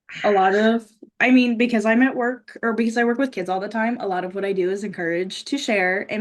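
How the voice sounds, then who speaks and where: Her pitch is fairly high, with ordinary variation. The woman talks at a fairly quick pace with hardly any pauses. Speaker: pageant titleholder and daycare teacher. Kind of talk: casual chat. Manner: loud; halting in conversation.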